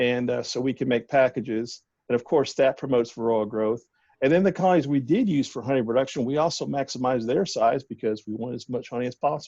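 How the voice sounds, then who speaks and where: Over a quiet background, a man talks at a very fast pace with a Southern US accent. His tone is dark and mellow. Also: medium pitch for a man, ordinary pitch variation. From US South. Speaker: bee scientist. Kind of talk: casual interview. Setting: phone call.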